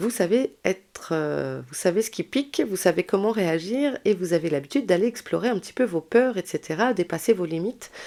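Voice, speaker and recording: Dark and mellow in tone, a woman's voice carries lively intonation and hardly any pauses. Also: medium pitch for a woman, moderate pace. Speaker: tarot and astrology reader. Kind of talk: tarot guidance video. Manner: hesitant, many fillers; chatty.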